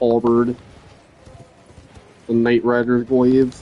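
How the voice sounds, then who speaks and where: At a very slow pace, a man speaks in monotone, flat intonation against noticeable background noise. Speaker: gaming streamer. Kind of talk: casual live-stream commentary.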